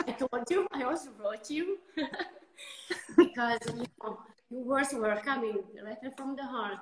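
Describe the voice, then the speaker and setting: A woman with an Italian accent speaks, her pitch swinging very widely. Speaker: winemaker. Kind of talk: casual interview. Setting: instagram live video call. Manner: halting.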